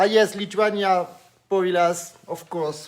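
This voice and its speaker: A man talks with a French accent. His pace is moderate. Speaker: online live show host. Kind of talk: live stream interview. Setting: Facebook live stream. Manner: animated.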